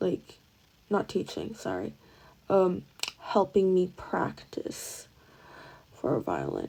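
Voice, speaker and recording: The pace is very slow. The speaker is a woman. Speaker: vlogger. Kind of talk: casual monologue. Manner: halting.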